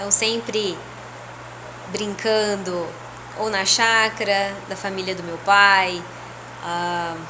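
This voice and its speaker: A woman speaks at a very slow pace with a medium pitch and monotone, flat intonation, leaving long, frequent pauses. The room echo is audible, and background noise is noticeable. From Brazil, interior of São Paulo state. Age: 30s. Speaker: spiritual leader. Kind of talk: personal testimony. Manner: casual, conversational.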